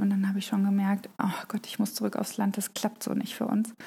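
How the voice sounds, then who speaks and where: In a monotone, flat intonation, a woman with fairly high pitch speaks at a fairly quick pace. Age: 30s. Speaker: mother of three, crafter on social media. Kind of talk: casual interview chat.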